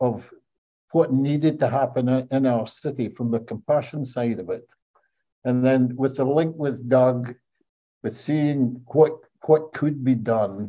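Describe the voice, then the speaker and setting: A man's dark, mellow, medium-pitched voice at a very slow pace with fairly even intonation. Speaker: charity chief executive. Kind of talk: interview. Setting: recording room at charity building.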